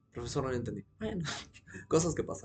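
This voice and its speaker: A man speaks in an animated tone at a fairly high pitch. His voice is somewhat breathy. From Peru. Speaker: teacher commenting on a video. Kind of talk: video commentary lecture. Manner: fast.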